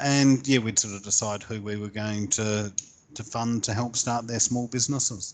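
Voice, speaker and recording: With a New Zealand accent, a man talks at medium pitch and a moderate pace, keeping his intonation fairly even. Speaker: small business coach. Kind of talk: interview. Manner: hesitant, with frequent fillers.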